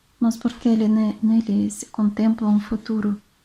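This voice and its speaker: Somewhat breathy with a dark, mellow tone, a woman with a Russian accent and fairly high pitch speaks at a fairly slow pace in a monotone, flat intonation. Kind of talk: relaxing book reading. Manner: soft-spoken, relaxing.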